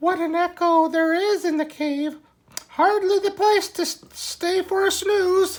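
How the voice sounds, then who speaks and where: A squeaky, put-on character voice at extremely high pitch speaks at a fairly slow pace. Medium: read story.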